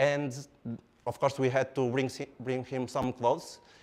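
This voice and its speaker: A man talks at a moderate pace in an animated tone. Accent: Portuguese. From Portugal, Porto. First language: Portuguese. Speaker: engineer and product speaker. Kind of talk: lecture.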